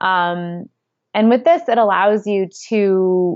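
With an American accent, a woman has an ordinary speaking voice, a medium pitch, and ordinary pitch variation. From upstate New York. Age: 30s. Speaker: author and former seasonal worker. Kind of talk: interview.

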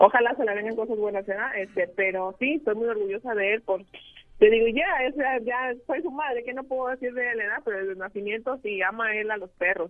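A plain, everyday voice, fairly quick in pace and with ordinary pitch variation. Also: woman, fairly high pitch for a woman. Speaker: mother of viral boy. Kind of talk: phone interview.

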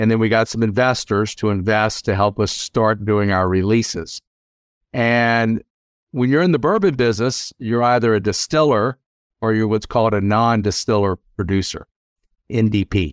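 In an ordinary speaking voice with an American accent, a man talks at a moderate pace with fairly low pitch, fairly even intonation and very even loudness, on a very clean recording with a silent background and a dry, close sound with no echo. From US South (South Louisiana). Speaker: lawyer. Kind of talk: interview.

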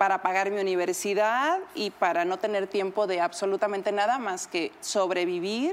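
With ordinary pitch variation, the clip presents an ordinary speaking voice. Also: woman. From Mexico, Huasteca Potosina. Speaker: TV personality. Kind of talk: casual chat.

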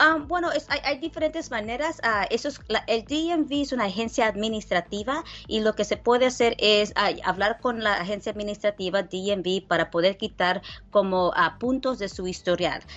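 Using a plain, everyday voice, a woman with a fairly high pitch talks at a moderate pace with lively intonation. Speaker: lawyer. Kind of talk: radio legal advice call-in segment.

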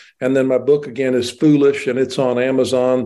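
A man's medium-pitched voice, dark and mellow in tone, in a monotone, flat intonation at a moderate pace. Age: 60s. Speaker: wealth manager. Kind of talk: interview.

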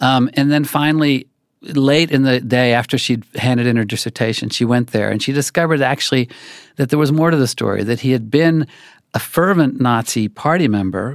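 Speaking at a fairly quick pace with an American accent, a man has an ordinary speaking voice, recorded with a dry, close sound with no echo on a very clean recording with a silent background. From Oklahoma. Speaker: magazine writer. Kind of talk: interview.

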